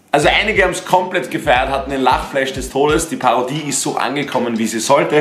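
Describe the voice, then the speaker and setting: Ordinary pitch variation amid audible room echo and light background noise. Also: man. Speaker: youtuber. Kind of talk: casual vlog chat. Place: home room.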